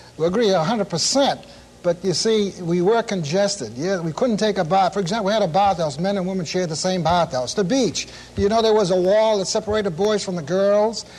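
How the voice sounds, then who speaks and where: In a Boston accent, a man with a high pitch talks at a fairly quick pace with ordinary pitch variation. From Boston, North End. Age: 60s. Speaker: former street corner group member. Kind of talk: panel talk show discussion. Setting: tv studio with audience. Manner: animated.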